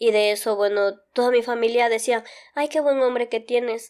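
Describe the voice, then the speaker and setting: On a very clean recording with a silent background, a woman speaks with a fairly high pitch. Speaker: migrant mother. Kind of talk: interview answer.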